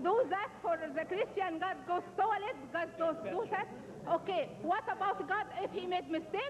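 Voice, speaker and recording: A woman's extremely high pitch at a fairly slow pace, with ordinary pitch variation, very even loudness and music in the background. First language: not English. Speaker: audience member asking a question. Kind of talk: question from the floor. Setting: church hall with audience. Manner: halting.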